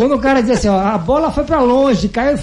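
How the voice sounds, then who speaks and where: Over noticeable background noise, a man with an extremely high voice sounds animated, his intonation lively. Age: 50s. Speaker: radio host and athlete. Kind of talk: casual radio chat. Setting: radio studio.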